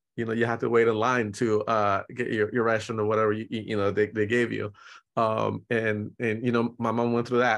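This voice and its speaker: A man talks with monotone, flat intonation. The background is quiet. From Nicaragua, raised in San Francisco Bay Area. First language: Spanish. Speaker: portrait photographer. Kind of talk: casual interview.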